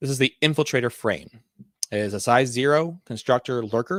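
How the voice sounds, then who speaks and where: A man with an American accent speaks with ordinary pitch variation in a dry, close sound with no echo, captured in a very clean recording with a silent background. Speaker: tabletop RPG YouTuber. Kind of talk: casual product review. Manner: fast; animated.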